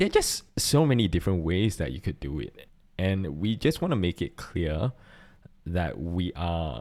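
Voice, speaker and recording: A man speaks with a Singaporean accent at a fairly slow pace. His pitch is very deep and low. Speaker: podcast co-host and church worship volunteer. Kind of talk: casual chat.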